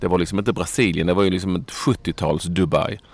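A man with a very deep, low voice gets through his words at a fairly quick pace. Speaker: football podcast host. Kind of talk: casual chat.

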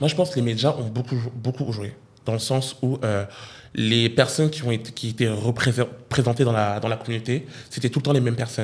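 A man talks at a fairly quick pace and medium pitch, somewhat breathy. He leaves long, frequent pauses. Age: 20s. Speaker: YouTuber. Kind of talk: casual chat. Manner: animated.

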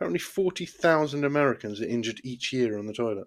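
On a very clean recording with a silent background, a man with a British accent speaks very fast at medium pitch with ordinary pitch variation. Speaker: podcast host. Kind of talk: casual banter, comedy review show. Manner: rambling, hesitant, laughs often.

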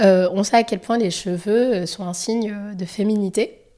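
At a very slow pace, a woman of medium pitch speaks in a dark, mellow tone with fairly even intonation. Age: 30s. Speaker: podcast host. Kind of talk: interview.

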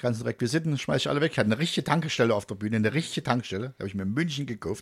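A man talks at a very fast pace. His pitch sits in the medium range, and his intonation is lively. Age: 50s. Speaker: radio presenter and comedian. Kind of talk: casual chat. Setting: studio.

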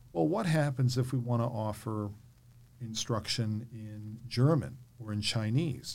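A man speaks with an American accent, somewhat breathy. His pace is fairly slow and his pitch varies in an ordinary way. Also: medium pitch for a man. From New York. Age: 50s. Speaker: podcast host, former school board member. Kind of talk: interview conversation.

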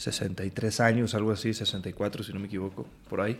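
Speaking at a fairly slow pace, a man with a central Mexican accent talks at a medium pitch. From Mexico, Aguascalientes. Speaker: actor and singer. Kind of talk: casual chat.

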